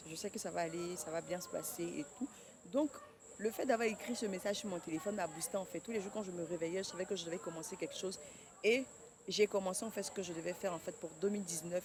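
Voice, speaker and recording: Fairly low pitch from a woman, a fairly quick pace and ordinary pitch variation. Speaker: vlogger and clothing brand founder. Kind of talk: casual vlog talk to camera. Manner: fast.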